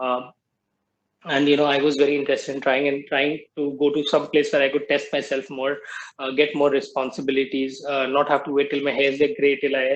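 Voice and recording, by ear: A man talks at a fairly quick pace and medium pitch. His intonation is monotone and flat.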